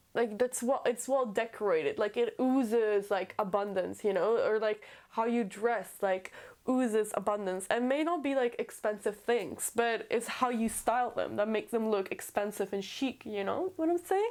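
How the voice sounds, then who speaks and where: A woman speaks at a moderate pace in a fairly high voice with ordinary pitch variation. Her loudness stays very even on a very clean recording with a silent background. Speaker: tarot reader. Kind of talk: tarot reading to camera. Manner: animated.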